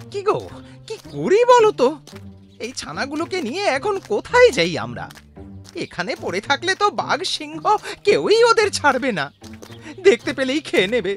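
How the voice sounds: Delivered at a moderate pace, a put-on character voice is heard over clear background music.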